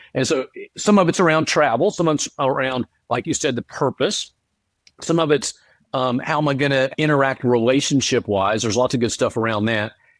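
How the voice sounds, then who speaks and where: An unremarkable speaking voice from a man with an American accent, medium in pitch, with ordinary pitch variation and a fairly quick pace, in a very clean, dry, close recording with a silent background and no echo. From North Carolina, US South. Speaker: author and speaker. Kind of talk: interview.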